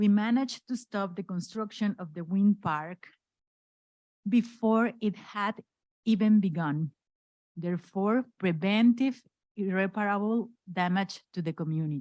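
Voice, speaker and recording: A woman with a Spanish accent speaks at a medium pitch and a fairly slow pace, with ordinary pitch variation, long, frequent pauses, and a dry, close sound with no echo. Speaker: human rights lawyer, NGO director. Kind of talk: acceptance speech read aloud. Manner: halting.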